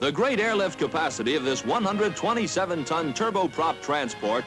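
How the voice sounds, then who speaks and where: The speech moves at a fairly quick pace over clear music in the background. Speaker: newsreel narrator. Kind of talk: newsreel narration. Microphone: old recording.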